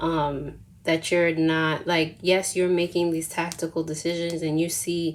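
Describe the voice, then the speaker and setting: Monotone and flat, a woman's fairly low voice moves at a fairly slow pace. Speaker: tarot reader. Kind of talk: tarot reading. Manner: casual, filler-heavy.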